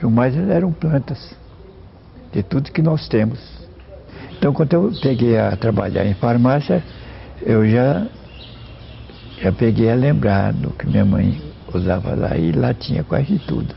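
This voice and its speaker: Noticeable background noise sits under a voice at a fairly slow pace with long, frequent pauses. The pitch swings very widely. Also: man, medium pitch for a man. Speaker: former pharmacist, local elder. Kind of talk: oral history interview.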